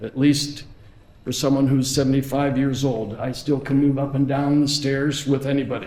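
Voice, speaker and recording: Amid audible room echo, a man with a fairly high pitch and a dark, mellow tone talks at a moderate pace. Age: 70s. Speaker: head of school. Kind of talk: speech. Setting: auditorium with audience.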